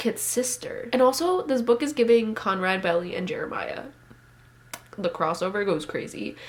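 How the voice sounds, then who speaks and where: A woman's fairly high voice with lively intonation at a moderate pace. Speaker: booktuber. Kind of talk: casual vlog chat. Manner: animated.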